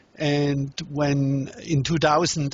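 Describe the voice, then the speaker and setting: A man with a German accent speaks in a somewhat breathy voice at fairly high pitch. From Germany. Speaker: relationship workshop teacher and author. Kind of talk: interview. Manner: halting.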